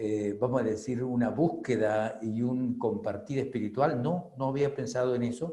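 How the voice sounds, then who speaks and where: In a room with audible echo, a man of medium pitch with a dark, mellow tone speaks somewhat breathily at a fairly slow pace, with hardly any pauses. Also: ordinary pitch variation. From Venezuela. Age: 60s. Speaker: spiritual reader and author. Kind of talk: testimony. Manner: halting, many fillers.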